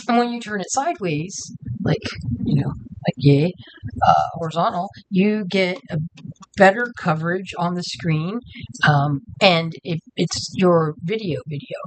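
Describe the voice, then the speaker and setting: A woman speaks at a fairly slow pace in a fairly low voice. Her intonation is lively. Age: 50s. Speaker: YouTube creator. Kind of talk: casual vlog talk. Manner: halting.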